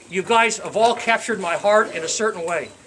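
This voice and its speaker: Noticeable background noise sits behind a man's voice. He speaks at a high pitch with ordinary pitch variation. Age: 60s. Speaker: retiree giving a speech at his own party. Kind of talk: farewell speech to friends. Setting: party with live audience. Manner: halting, repeats words.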